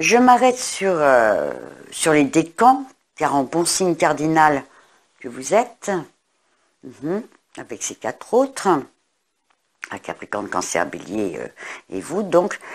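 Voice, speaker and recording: A woman speaks at a fairly low pitch with vocal fry and very wide pitch swings. Her pace is very slow, with long, frequent pauses and big swings in loudness. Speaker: astrologer and tarot reader. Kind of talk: astrology forecast monologue. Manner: hesitant, many fillers.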